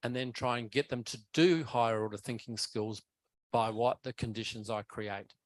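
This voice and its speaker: A man talks at a moderate pace in a medium pitch with fairly even intonation, in an unremarkable speaking voice. The sound is dry and close with no echo, and the background is quiet. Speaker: keynote speaker on education. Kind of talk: conference Q&A answer. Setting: academic conference, hybrid.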